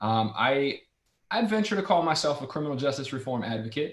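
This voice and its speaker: The speaker has an American accent. The delivery is fairly quick. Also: man. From Central Florida, Orlando. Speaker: criminal defense attorney. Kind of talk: panel discussion introduction. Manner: halting, many fillers.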